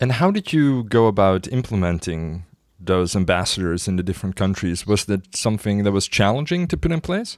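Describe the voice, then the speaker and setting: A man with a fairly low pitch talks at a fairly quick pace in a normal speaking voice, captured on a very clean recording with a silent background. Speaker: podcast host. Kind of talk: interview.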